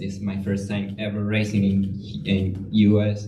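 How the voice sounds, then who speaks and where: Amid audible room echo, a man with a Venezuelan accent talks at a fairly slow pace. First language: Spanish. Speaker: pro cyclist. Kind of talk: interview. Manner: halting.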